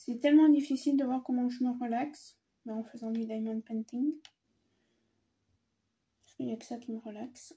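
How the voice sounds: With long, frequent pauses, a woman speaks in a fairly high pitch with a dark, mellow tone, a slightly husky edge and little pitch movement. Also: moderate pace.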